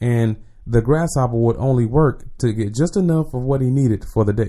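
A man with an American accent has a dark, mellow tone and ordinary pitch variation. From Jacksonville, Florida. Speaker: motivational speaker, Navy veteran. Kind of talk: casual chat. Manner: conversational.

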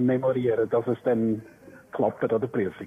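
A man's voice sits at a medium pitch while noticeable background noise fills the recording. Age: 60s. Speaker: retiring primary school teacher. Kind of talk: casual chat.

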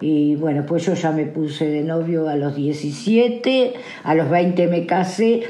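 Lively intonation carries a woman's fairly low voice, heard with audible room echo and noticeable background noise. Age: 70s. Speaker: interviewee. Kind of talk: interview.

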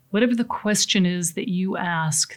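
With an American accent, a woman talks at a medium pitch, her voice somewhat breathy and her pitch varying in an ordinary way. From US Pacific Northwest. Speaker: seminar speaker on coping with change. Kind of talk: motivational talk. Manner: conversational, with frequent fillers.

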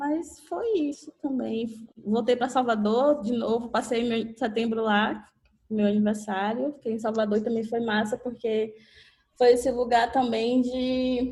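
A woman's fairly high voice with a dark, mellow tone, fairly even intonation and a fairly slow pace. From interior of Bahia, Catu. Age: 30s. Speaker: photographer. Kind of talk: casual chat. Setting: video call.

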